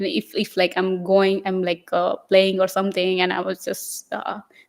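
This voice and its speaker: A woman speaks at medium pitch. She talks with a Gujarati accent. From India, Maharashtra. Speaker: Buddhist nun. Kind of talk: interview. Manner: halting.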